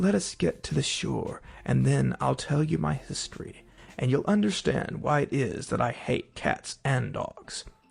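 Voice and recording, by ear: Putting on a shaky character voice, a man talks at a moderate pace while faint music plays in the background.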